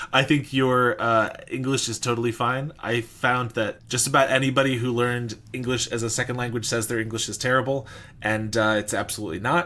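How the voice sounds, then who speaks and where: An unremarkable speaking voice from a man, medium in pitch, with fairly even intonation and a fairly quick pace. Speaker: gaming channel host. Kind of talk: interview.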